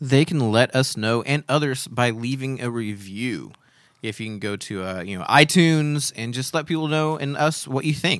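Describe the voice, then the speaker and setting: Lively intonation marks this man's speech. His pitch is medium and his pace moderate. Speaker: podcast co-host. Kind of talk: casual chat. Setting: studio. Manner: understated.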